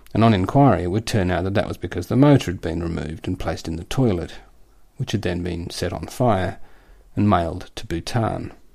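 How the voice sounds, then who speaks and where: On a very clean recording with a silent background, the voice comes at a fairly quick pace in an Australian accent with ordinary pitch variation. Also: man. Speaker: satirical columnist. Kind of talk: scripted satirical reading.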